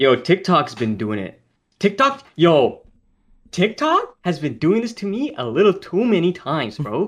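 A man's high-pitched voice with very wide pitch swings at a fairly slow pace. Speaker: podcast co-host. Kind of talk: casual chat. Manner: talkative.

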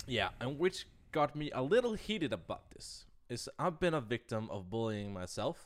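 Very wide pitch swings in a Danish accent. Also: man, fairly high pitch for a man, moderate pace, big swings in loudness. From Denmark. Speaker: podcast co-host and editor. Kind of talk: casual chat.

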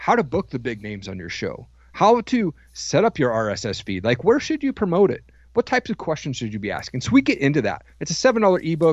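A man with an American accent speaks fairly quickly at a fairly high pitch, with vocal fry. His pitch swings very widely, his loudness shifts sharply, and the sound is dry and close with no echo. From US Pacific Northwest (Washington State). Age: 40s. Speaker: podcast host and coach. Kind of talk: interview testimony.

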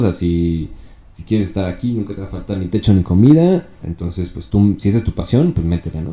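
This man's tone is dark and mellow, his pitch fairly low. His intonation is lively. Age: 30s. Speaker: rapper and content creator. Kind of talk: casual chat.

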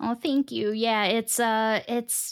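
A woman with an American accent and a plain, everyday voice talks fairly slowly at a fairly high pitch on a very clean recording with a silent background. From Long Island, New York. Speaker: radio host and content creator. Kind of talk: casual interview chat.

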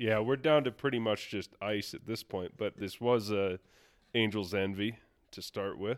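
A man with an American accent speaks at a moderate pace in an unremarkable speaking voice, his pitch fairly low with ordinary variation. The sound is dry and close with no echo. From US Midwest (western Iowa). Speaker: golf course superintendent. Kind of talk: casual chat. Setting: rental house at a seminar.

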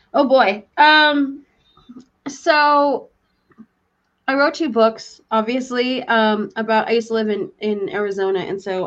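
Lively intonation marks this woman's fairly high voice. It is an unremarkable speaking voice. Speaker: author and psychic. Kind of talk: interview.

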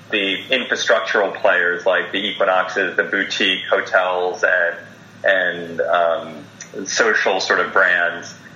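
A man speaks at a very slow pace. Audible room echo and noticeable background noise are present. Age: 40s. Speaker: health and wellness director. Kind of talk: interview. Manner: hesitant, many fillers and repeats.

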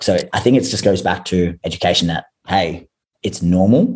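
This man speaks with an Australian accent in a very deep, low pitch. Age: 30s. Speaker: fitness coach. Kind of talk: casual chat.

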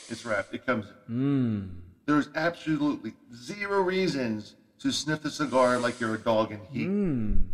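A man's medium-pitched voice at a moderate pace, with music in the background. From Philadelphia, South Philly. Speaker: podcast host. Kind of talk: solo podcast rant. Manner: animated.

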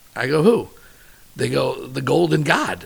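Against noticeable background noise, a man speaks in an animated tone. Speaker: chef. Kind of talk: casual chat. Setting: at home. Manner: loud.

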